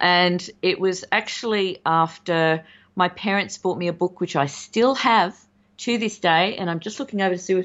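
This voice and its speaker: With an Australian accent, a woman speaks at a moderate pace. Her pitch is medium, with ordinary variation. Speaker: podcast co-host, guest. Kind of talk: casual chat. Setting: remote recording.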